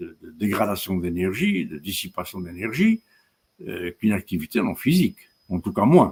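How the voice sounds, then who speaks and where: The loudness of a man's voice swings widely, in a dry, close sound with no echo. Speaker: professor. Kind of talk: lecture. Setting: webinar. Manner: slow; halting.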